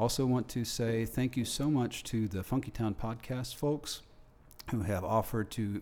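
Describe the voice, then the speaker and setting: A man speaks at a moderate pace in an unremarkable speaking voice, his medium pitch rising and falling with ordinary variation. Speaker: radio host. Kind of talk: panel discussion, casual chat. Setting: studio.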